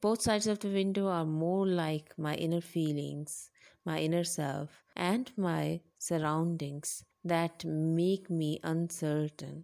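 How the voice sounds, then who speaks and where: A woman in a Pakistani accent speaks at a very slow pace, her fairly low voice dark and mellow in tone, with ordinary pitch variation. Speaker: poet reading her own haiku. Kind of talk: reading aloud with commentary. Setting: remote recording, self-isolating at home.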